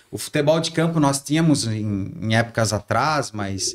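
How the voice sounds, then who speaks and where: A man talks at a moderate pace. His voice is medium in pitch with ordinary pitch variation. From Santa Catarina, Brazil (Ascurra, Vale do Itajaí). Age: 40s. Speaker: former city councillor and PE teacher. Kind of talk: podcast interview. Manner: hesitant, many fillers.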